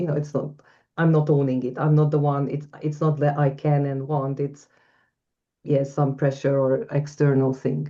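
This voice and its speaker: Speaking at a moderate pace, a woman with a non-native accent has a very deep, low pitch and a dark, mellow tone. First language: not English. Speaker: coach. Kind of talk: webinar Q&A discussion.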